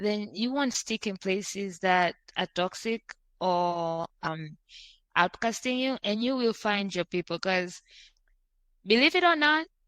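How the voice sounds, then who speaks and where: Lively intonation from a woman of medium pitch, at a fairly slow pace with long, frequent pauses, in a dry, close sound with no echo. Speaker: podcast host, guest. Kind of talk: casual interview chat. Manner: loud; animated.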